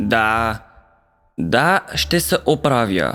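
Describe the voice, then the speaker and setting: A raspy, low-pitched put-on character voice with very wide pitch swings. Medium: dub. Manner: annoyed, defensive.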